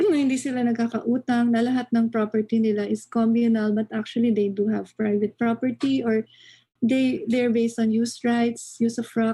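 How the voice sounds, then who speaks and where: In a Filipino accent, a woman speaks at a fairly quick pace with a fairly high pitch, a dark, mellow tone, fairly even intonation and very even loudness. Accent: Filipino English, Taglish code-switching. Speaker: anthropology lecturer. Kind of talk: lecture.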